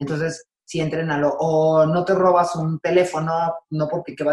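In a Mexican accent, a woman with a very deep, low pitch talks at a moderate pace, the sound dry and close with no echo. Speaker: sports psychologist. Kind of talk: interview conversation.

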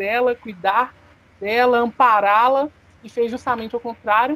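A woman with a high-pitched voice talks at a moderate pace with fairly even intonation. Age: 20s. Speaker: podcast co-host, business student. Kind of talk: casual discussion of a serious news topic.

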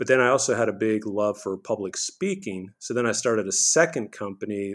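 An unremarkable speaking voice at a moderate pace, with ordinary pitch variation and hardly any pauses, on a very clean recording with a silent background. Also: man. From Texas (Houston), child of Bolivian immigrants. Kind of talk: interview.

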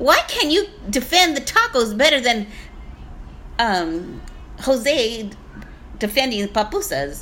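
Very slow speech with long, frequent pauses, very wide pitch swings and very even loudness over noticeable background noise. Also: woman, high pitch for a woman. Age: 60s. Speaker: podcast co-host, comedian. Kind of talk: casual chat.

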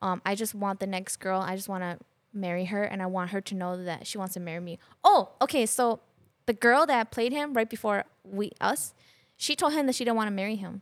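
Here is a woman with an unremarkable speaking voice. She talks at a fairly quick pace with ordinary pitch variation. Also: medium pitch for a woman. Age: 30s. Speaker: podcast guest sharing relationship advice. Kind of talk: casual chat.

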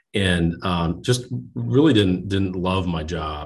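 This speaker is a man with an American accent. He goes at a very slow pace. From New Jersey, US. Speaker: bank lending executive. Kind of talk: interview. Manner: halting, many fillers.

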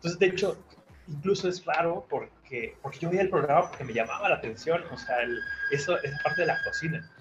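Lively intonation carries the fairly quick speech over noticeable background noise. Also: man, high pitch for a man. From Mexico City. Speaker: chef. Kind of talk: interview.

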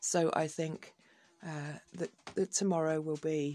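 Very slowly, a woman with an English accent speaks in a very deep, low voice with a dark, mellow tone. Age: 60s. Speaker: podcaster. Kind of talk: personal monologue. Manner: hesitant.

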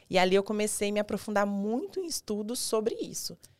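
Here a woman speaks at a fairly high pitch with ordinary pitch variation. The recording is very clean, with a silent background. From Goiás, Brazil. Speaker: dentist and weight-loss mentor. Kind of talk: casual interview chat. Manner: halting, many fillers.

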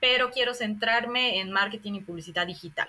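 A woman with an unremarkable speaking voice talks at a moderate pace, her fairly high pitch showing ordinary pitch variation. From Bolivia. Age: 30s. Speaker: sociologist and scholarship advisor. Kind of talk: interview.

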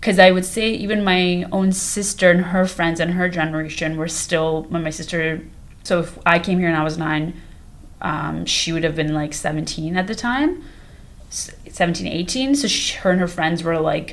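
A woman with a fairly low pitch and ordinary pitch variation is heard with audible room echo. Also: moderate pace. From Canada, North York (Toronto). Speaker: podcast co-host. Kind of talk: casual chat.

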